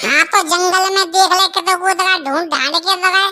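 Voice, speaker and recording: A woman's squeaky, cartoonish character voice at an extremely high pitch, monotone and flat, fairly quick, with very even loudness. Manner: rustic, chatty, repetitive.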